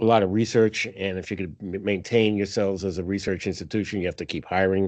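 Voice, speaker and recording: Fairly low in pitch, a man delivers his words at a fairly quick pace with monotone, flat intonation. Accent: New York. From New York. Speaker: accounting professor presenting financial analysis. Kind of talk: presentation to faculty meeting. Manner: casual with many fillers.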